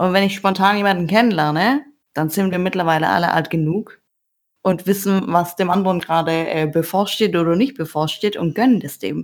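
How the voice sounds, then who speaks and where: Here is a woman with a normal speaking voice. She talks at a fairly quick pace with ordinary pitch variation. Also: medium pitch for a woman. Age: 30s. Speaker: online dating user. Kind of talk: casual chat.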